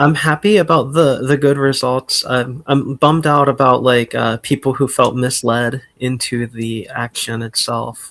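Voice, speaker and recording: A man with an American accent at a medium pitch and fairly slow pace, fairly even intonation, hardly any pauses, and a dry, close sound with no echo. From Ohio. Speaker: caller. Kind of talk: casual chat. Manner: halting.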